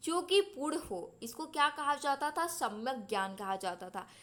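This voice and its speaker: Raising and projecting her voice, a woman speaks at a high pitch with very wide pitch swings and a bright, sharp tone. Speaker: exam-prep teacher. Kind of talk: lecture. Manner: slow.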